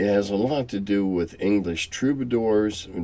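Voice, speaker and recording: In an American accent, a man speaks at a fairly slow pace. His fairly low pitch carries a dark, mellow tone. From US Midwest (Quad Cities, Illinois/Iowa border). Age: 70s. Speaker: tabletop game veteran and channel host. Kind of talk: casual monologue answering viewer questions. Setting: home cellar. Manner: halting with many fillers and repetitions.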